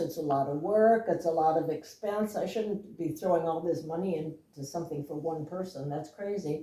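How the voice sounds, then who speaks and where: In a room with audible echo, a woman speaks in a dark, mellow tone with ordinary pitch variation. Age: 80s+. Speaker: interviewee sharing family memories. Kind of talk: casual interview. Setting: at home.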